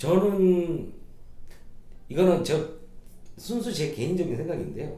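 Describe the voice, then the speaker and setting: A man's high-pitched voice at a very slow pace, with ordinary pitch variation and long, frequent pauses. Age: 40s. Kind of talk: interview answer.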